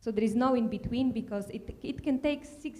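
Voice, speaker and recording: In a Slovak accent, a woman talks at a fairly quick pace with ordinary pitch variation. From Slovakia. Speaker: tech manager, panelist. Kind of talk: panel discussion. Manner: halting, many fillers.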